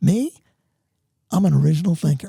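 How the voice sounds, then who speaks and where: An animated tone in a New York accent. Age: 70s. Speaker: entrepreneur and author. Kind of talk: podcast interview.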